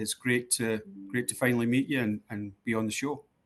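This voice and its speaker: In a Scottish accent, a man talks at a moderate pace and medium pitch. His intonation is monotone and flat. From Scotland, East End of Glasgow. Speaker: sports club executive. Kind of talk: interview. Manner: hesitant, many fillers.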